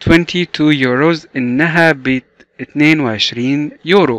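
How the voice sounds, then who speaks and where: A man's voice, fairly high for a man and with ordinary pitch variation, comes through dry and close with no echo. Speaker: English teacher. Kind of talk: tutorial. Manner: slow, repetitive drilling.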